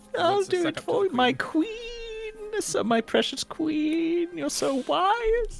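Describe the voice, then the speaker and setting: A man does a put-on character voice at an extremely high pitch and a very slow pace. Background noise is clearly heard. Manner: wheedling, flattering.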